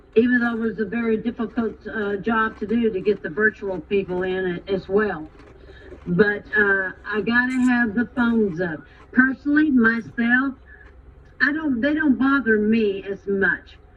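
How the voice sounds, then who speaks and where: Noticeable background noise sits under a woman's fairly high-pitched voice. She talks at a fairly slow pace with ordinary pitch variation. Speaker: teacher. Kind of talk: parent-teacher conference. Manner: loud.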